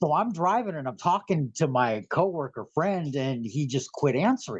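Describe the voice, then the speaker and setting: Very wide pitch swings and an animated tone in a somewhat breathy voice with an American accent at a moderate pace. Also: man, fairly high pitch for a man. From San Francisco Bay Area, California. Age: 60s. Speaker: guest sharing alien contact experiences. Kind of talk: casual interview storytelling. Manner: talkative, animated.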